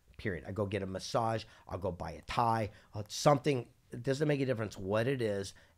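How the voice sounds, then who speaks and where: In a very clean recording with a silent background, a man with a fairly low voice speaks in an animated tone at a fairly quick pace, with ordinary pitch variation. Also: big swings in loudness. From Southern California. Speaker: entrepreneur and keynote speaker. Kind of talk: podcast interview.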